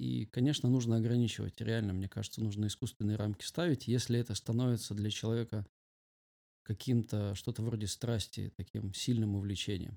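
Dry, close, echo-free sound on a very clean recording with a silent background: a man with a dark, mellow tone and fairly low pitch, fairly quick pace and fairly even intonation. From rural Russia. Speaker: pastor and youth leader. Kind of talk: casual interview.

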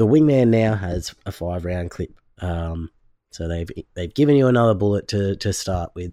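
At a moderate pace, a man with a fairly low pitch speaks in an Australian accent. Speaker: gaming podcast co-host. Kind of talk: casual chat. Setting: remote call with co-host.

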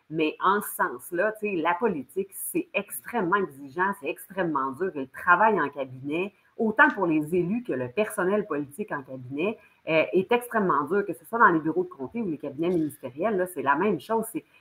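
With a Quebec accent, a woman speaks at a moderate pace, her fairly low voice carrying lively intonation. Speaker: former political candidate, economic development worker. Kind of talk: political discussion.

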